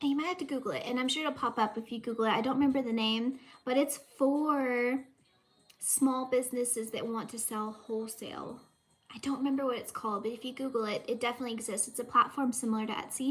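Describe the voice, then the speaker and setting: Her pitch high and her intonation fairly even, a woman with a Southern US accent talks at a very fast pace. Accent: Southern US, says y'all. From US South, Southeast Texas. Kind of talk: casual livestream chat. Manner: chatty, filler-heavy.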